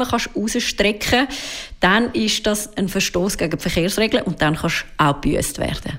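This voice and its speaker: A woman with a Swiss accent, lively intonation and a moderate pace. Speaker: consumer car expert. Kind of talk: radio interview. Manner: casual, explanatory.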